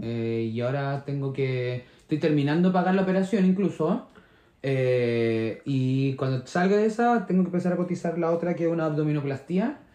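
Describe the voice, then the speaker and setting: Speaking at a moderate pace with a Chilean accent, a man has a fairly high pitch, a dark, mellow tone and lively intonation. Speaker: podcast co-host. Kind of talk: casual chat.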